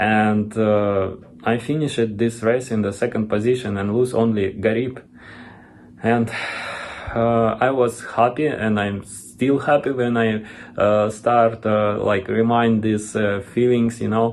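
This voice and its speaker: The speaker is a man with a Russian accent. His intonation is monotone and flat. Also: medium pitch for a man, fairly slow pace. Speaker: retired marathon runner. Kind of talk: video testimony. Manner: halting.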